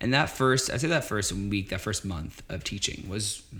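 The pace is fairly quick. It is a plain, everyday voice. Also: man. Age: 20s. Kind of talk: casual interview.

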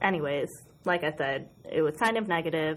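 A woman with an American accent at a fairly slow pace over a quiet background. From Western New York, US. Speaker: book blogger and podcast co-host. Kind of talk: casual chat. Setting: studio. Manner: distinctive laugh.

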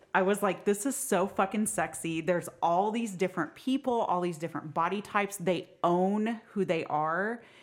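A woman with an unremarkable speaking voice talks in an American accent at a moderate pace. Her pitch is medium, with ordinary variation. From Oklahoma. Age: 40s. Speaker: burlesque performer and bariatric surgery patient. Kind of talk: casual chat.

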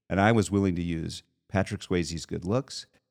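In a very clean recording with a silent background, a man speaks at a moderate pace and a fairly low pitch in a plain, everyday voice. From Texas, Houston. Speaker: animator. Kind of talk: casual chat.

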